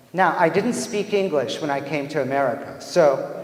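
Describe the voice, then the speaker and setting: Over noticeable background noise and audible room echo, a man speaks at a moderate pace in a fairly high pitch with ordinary pitch variation. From Iran. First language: Persian. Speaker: theatre professor. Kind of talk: lecture. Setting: stage with audience. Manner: animated.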